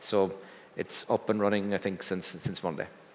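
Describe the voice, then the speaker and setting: The speaker talks at a fairly quick pace. The voice carries an Irish accent. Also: man. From Ireland. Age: 60s. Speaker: business executive. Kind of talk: fireside chat on stage. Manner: halting.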